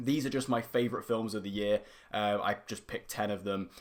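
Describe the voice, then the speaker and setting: With a British accent, a man talks at a fairly quick pace. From UK. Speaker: YouTube film reviewer. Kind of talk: casual monologue video. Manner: animated.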